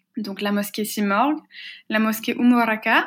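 On a very clean recording with a silent background, a woman talks at a fairly slow pace in a somewhat breathy, fairly high-pitched voice. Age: 20s. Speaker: activist and researcher. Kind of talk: interview. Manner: hesitant, frequent fillers and repetitions.

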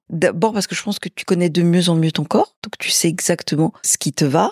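The sound is dry and close, with no echo at all. In a normal speaking voice, the delivery moves at a moderate pace with ordinary pitch variation. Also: woman. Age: 60s. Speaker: interviewee sharing personal experience. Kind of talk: casual interview. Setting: at her home.

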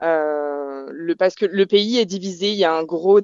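The voice belongs to a woman. Her intonation stays fairly even. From southern France, Provence (Bouches-du-Rhône). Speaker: expat interviewee. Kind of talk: interview conversation. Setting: Skype call.

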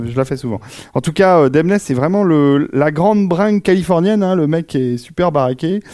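A man with a fairly high pitch and a dark, mellow tone speaks at a moderate pace with ordinary pitch variation. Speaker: podcast co-host on film and game music. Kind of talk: casual chat before a live audience. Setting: recorded in a club with audience.

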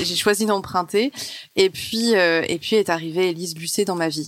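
A woman talks in an ordinary speaking voice at a moderate pace, with ordinary pitch variation. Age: 30s. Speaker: television journalist. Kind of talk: casual interview.

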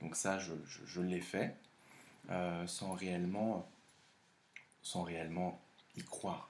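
A very deep, low male voice, very slow and monotone, with flat intonation and long, frequent pauses. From France, of Laotian parents. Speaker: host's partner. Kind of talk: casual chat. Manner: halting.

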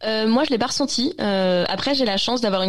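A woman is speaking. Her pace is very fast. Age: 20s. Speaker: tech journalist. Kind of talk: interview. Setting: video call. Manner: halting, many hesitations.

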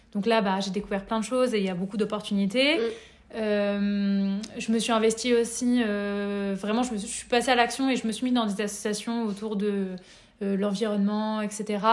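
Fairly high in pitch, a woman talks at a moderate pace. She keeps a monotone, flat intonation. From France, Nevers. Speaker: workshop facilitator. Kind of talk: interview.

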